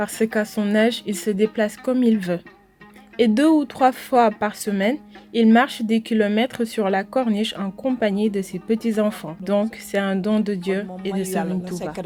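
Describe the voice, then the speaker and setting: Music plays in the background behind a woman. She speaks at a fairly slow pace with a fairly high pitch. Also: fairly even intonation. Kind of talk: interview answer.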